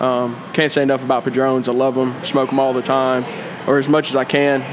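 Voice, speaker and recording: Noticeable background noise sits under a man with a Southern US accent who speaks fairly fast in a fairly high voice. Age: 20s. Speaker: cigar shop employee. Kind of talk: casual chat. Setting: cigar shop.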